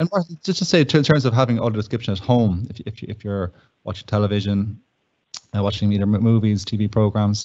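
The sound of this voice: A man speaks at a fast pace with a fairly low pitch. His tone is slightly mellow, and his pitch varies an ordinary amount.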